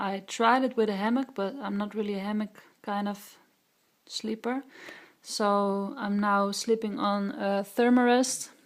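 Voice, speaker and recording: A woman's medium-pitched voice with a Dutch accent, fairly slow and with fairly even intonation. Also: very clean recording, silent background. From Netherlands. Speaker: hiker vlogger. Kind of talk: gear tutorial. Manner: halting, many filler sounds.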